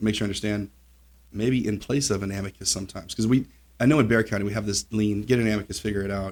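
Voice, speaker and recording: Talking at a very fast pace, a man uses a fairly low voice. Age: 40s. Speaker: podcast host and family lawyer. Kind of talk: casual interview.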